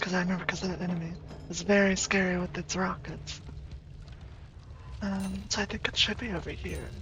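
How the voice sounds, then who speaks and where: A soft-spoken woman talks at a fairly quick pace with long, frequent pauses. Noticeable background noise sits behind her. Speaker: vtuber gamer. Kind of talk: gameplay commentary.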